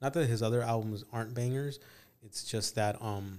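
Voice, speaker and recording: A man with an American accent talks in a medium pitch at a moderate pace. The recording is very clean, with a silent background. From California. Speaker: podcast host. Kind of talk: casual chat.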